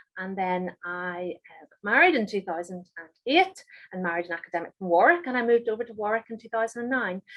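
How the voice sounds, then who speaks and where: In a Northern Irish accent, a woman talks at a very fast pace. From Northern Ireland, Holywood. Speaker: chemistry professor. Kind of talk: lecture. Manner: halting, many fillers.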